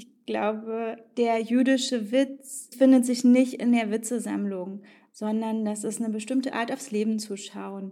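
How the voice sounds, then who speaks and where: A woman's fairly high voice, dark and mellow in tone, at a fairly slow pace with fairly even intonation. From eastern Germany. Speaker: sociologist. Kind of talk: interview.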